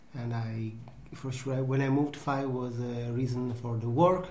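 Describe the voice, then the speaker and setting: A man at a medium pitch with an Italian accent, moderate pace, audible room echo and noticeable background noise. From Italy. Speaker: pasta maker, farm worker. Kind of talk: interview. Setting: at home. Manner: halting.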